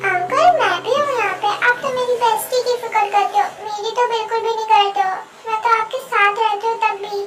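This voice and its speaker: In a put-on character voice with an extremely high pitch, the speaker rattles along at a fairly quick pace with hardly any pauses over light background noise. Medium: fan dub.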